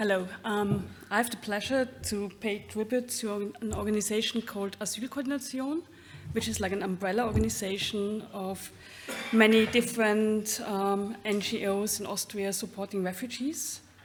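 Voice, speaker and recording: Noticeable background noise beneath a woman's fairly even intonation. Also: fairly high pitch for a woman, moderate pace. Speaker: laudation speaker. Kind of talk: prepared speech. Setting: award ceremony with audience. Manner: halting.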